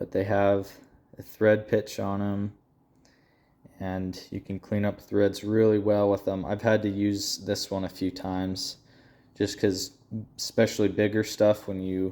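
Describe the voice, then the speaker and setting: In a fairly low voice with a dark, mellow tone, a man speaks fairly slowly in a monotone, flat way, with long, frequent pauses. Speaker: entry level automotive technician. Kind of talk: casual toolbox tour talk to camera.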